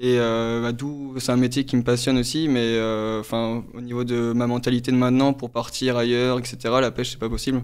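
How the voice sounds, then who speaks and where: Speaking at a moderate pace and medium pitch, a man uses monotone, flat intonation in a very clean recording with a silent background. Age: 20s. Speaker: former fisherman turned trader. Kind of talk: interview testimony. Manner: halting, many fillers.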